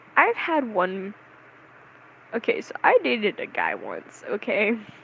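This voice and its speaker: At a fairly slow pace, a woman speaks with big swings in loudness over noticeable background noise. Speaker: vlogger. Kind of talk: casual monologue.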